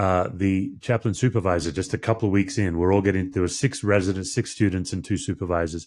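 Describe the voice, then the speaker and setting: Fairly quick speech from a man with an Australian accent. His pitch is fairly low, and the background is quiet. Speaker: podcast host, pastor. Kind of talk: interview conversation.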